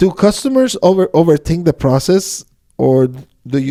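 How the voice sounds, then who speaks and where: Here a man with a non-native accent speaks at a fairly high pitch in a dark, mellow tone. The sound is dry and close, with no echo. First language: not English. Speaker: podcast host. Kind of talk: casual interview. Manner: halting, self-correcting.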